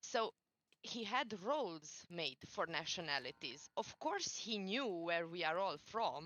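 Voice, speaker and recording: A woman with a Romanian accent and very wide pitch swings. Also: fairly low pitch for a woman. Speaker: former community admin. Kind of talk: podcast interview testimony. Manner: halting.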